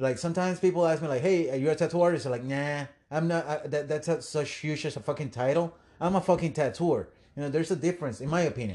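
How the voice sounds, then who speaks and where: Against a quiet background, a man with a Puerto Rican accent speaks at a very fast pace in a dark, mellow tone, his pitch fairly high with ordinary variation. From Puerto Rico. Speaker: tattoo industry podcast host. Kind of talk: casual chat. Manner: animated.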